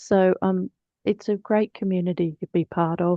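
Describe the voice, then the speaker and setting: Speaking at a moderate pace, a woman with an Australian accent uses a fairly low pitch and fairly even intonation. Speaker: webinar host, librarian. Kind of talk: webinar Q&A moderation.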